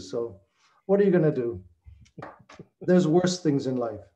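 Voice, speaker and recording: A man with a slight Austrian accent talks at a fairly quick pace in a dark, mellow tone. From Chicago, US. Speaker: retired alumnus. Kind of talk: casual chat. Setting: video call.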